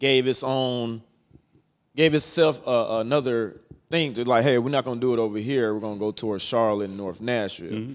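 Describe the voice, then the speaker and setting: In an ordinary speaking voice, a man talks at a fairly quick pace with medium pitch and ordinary pitch variation over a quiet background. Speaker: podcast host. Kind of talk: casual interview. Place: studio. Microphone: handheld.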